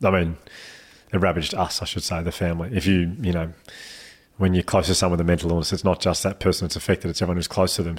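A flat, monotone Australian accent on a very clean recording with a silent background. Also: man. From Australia, Melbourne. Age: 30s. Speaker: mental health speaker. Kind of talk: casual chat.

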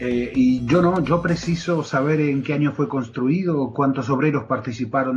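A man with an Argentine accent speaks at a medium pitch with ordinary pitch variation. His pace is fairly slow. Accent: Rioplatense Argentine Spanish. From Argentina. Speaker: sports journalist. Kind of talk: interview. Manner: halting, many filler words.

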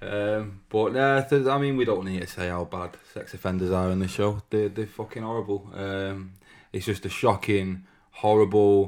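At a moderate pace, a man with a Manchester accent talks in a fairly low pitch with fairly even intonation. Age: 30s. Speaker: podcast co-host. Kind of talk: casual chat.

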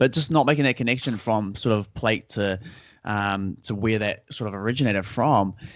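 Here is a man with a New Zealand accent. He speaks at a moderate pace. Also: fairly low pitch for a man, ordinary pitch variation. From New Zealand (Auckland). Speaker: personal trainer and nutritionist. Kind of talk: casual interview chat. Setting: call.

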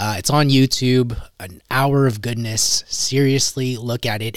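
A man's plain, everyday voice, with fairly even intonation. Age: 30s. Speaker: podcast host. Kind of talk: casual interview.

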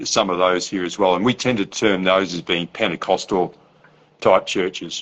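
A man's very deep, low voice in an Australian accent, with fairly even intonation. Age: old. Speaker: podcast host. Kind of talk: casual chat. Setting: video call.

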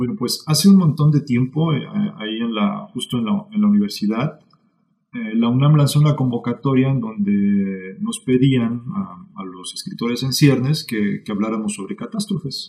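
The tone is dark and mellow, with very wide pitch swings. Delivery moves at a moderate pace. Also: man, medium pitch for a man. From Mexico City. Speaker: author. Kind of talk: casual chat.

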